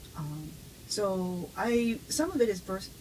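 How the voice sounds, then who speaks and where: A somewhat breathy woman's voice at medium pitch, with ordinary pitch variation and an American accent. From US, with childhood ages 5 to 11 in Japan. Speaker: neuroscience professor. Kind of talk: interview. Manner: halting, with frequent fillers.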